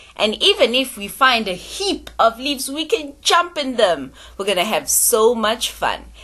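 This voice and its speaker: Her bright, sharp voice swings very widely in pitch, with an upbeat tone and some vocal fry. The woman speaks at a fairly slow pace. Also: fairly high pitch for a woman. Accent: South African. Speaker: teacher. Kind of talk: children's phonics lesson.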